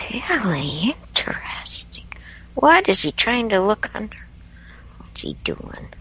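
Whispering comes at a very slow pace with long, frequent pauses over noticeable background noise. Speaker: radio show co-host. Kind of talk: casual chat.

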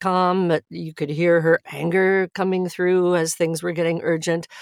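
In an ordinary speaking voice, a woman with a fairly low pitch talks at a moderate pace on a very clean recording with a silent background. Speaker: audiobook narrator and acting professor. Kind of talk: interview conversation about narration craft.

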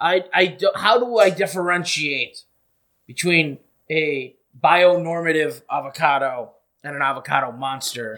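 A man talks with lively intonation and a bright, sharp tone. The recording is very clean, with a silent background. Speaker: comedy podcast host. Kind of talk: comedic mock-interview show. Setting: studio.

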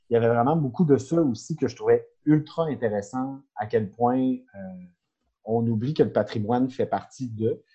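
A man's somewhat breathy, dark, mellow voice at medium pitch, moderate pace and ordinary pitch variation. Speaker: insurance broker. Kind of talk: casual chat.

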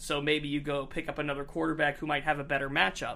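In an American accent, a man with fairly high pitch and vocal fry talks at a very fast pace over a very clean recording with a silent background. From Northeast Ohio. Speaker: sports podcast host. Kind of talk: casual chat. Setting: studio.

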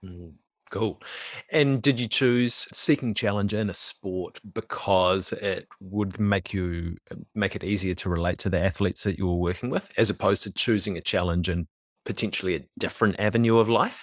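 The speaker has a New Zealand accent, heard on a very clean recording with a silent background. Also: man, fairly low pitch for a man, ordinary pitch variation, moderate pace. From New Zealand, West Auckland. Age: 30s. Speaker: podcast host. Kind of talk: casual interview chat.

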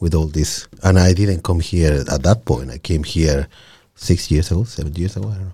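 This man's voice is very deep and low, with a dark, mellow tone and a somewhat breathy quality. His loudness swings widely. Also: ordinary pitch variation, moderate pace. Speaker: immigrant co-guest, hospitality professional. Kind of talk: casual interview. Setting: studio.

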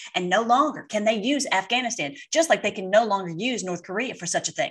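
Her voice is a plain, everyday voice, fairly high for a woman, with lively intonation. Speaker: online political commentator. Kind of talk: casual commentary over replayed clips. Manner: rambling, repetitive with many fillers; fervent, ends in prayer.

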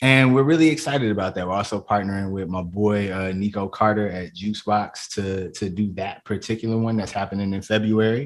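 Fairly quick and hardly pausing, a speaker with a Chicago accent comes through a very clean recording with a silent background. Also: man, fairly low pitch for a man, ordinary pitch variation. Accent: Chicago American. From south suburbs of Chicago. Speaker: comedian and poet. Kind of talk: casual interview chat.

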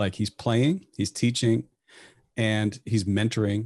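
In a plain, everyday voice, a man with an American accent talks at a moderate pace and a fairly low pitch, with a dry, close sound, no echo and a quiet background. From US Midwest. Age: 40s. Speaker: jazz professor and pianist. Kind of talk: casual chat.

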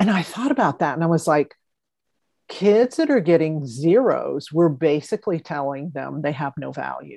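A woman with a very deep, low pitch and a dark, mellow tone speaks at a moderate pace with lively intonation and vocal fry. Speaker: podcast host. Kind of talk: casual interview.

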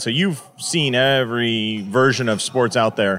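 At a medium pitch, a man talks in an unremarkable speaking voice. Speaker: podcast host, chiropractor. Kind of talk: interview.

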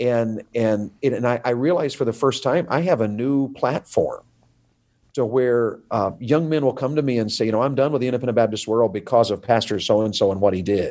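Speaking at a fairly quick pace with an American accent, a man with a medium pitch and a dark, mellow tone shows ordinary pitch variation on a very clean recording with a silent background. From US South. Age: 50s. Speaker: evangelist. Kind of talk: casual interview.

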